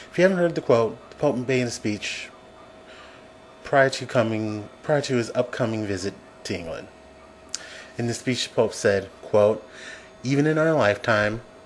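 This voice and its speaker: The speaker goes at a moderate pace with ordinary pitch variation and long, frequent pauses, against noticeable background noise. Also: man, medium pitch for a man. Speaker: atheist commentator vlogger. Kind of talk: opinion commentary to camera. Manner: slight stammer.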